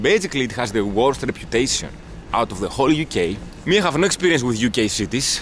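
Over light background noise, a man with a Greek accent talks at a very fast pace with very wide pitch swings. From Greece. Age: 20s. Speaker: travel vlogger. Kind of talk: casual vlog chat. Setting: outdoors. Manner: animated. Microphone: phone near.

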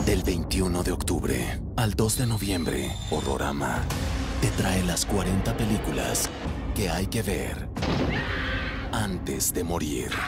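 Loud background noise surrounds a man speaking at a very slow pace, the sound dry with no echo. He leaves long, frequent pauses. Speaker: voice actor. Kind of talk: TV channel promo announcer. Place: booth. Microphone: studio mic.

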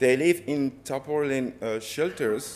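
A man with a medium pitch and a fairly slow pace. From Democratic Republic of the Congo. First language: French. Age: 30s. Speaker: photographer and multimedia artist. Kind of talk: lecture. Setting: stage with audience. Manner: halting.

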